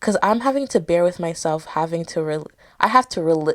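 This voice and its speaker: Ordinary pitch variation from a woman, very clean recording against a silent background. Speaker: podcast host. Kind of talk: casual solo podcast talk. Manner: loud, projected.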